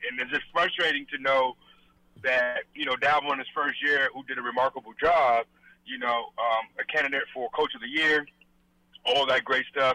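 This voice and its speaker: Here a man has an unremarkable speaking voice with a fairly high pitch. His intonation stays fairly even. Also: moderate pace. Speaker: caller. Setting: phone call.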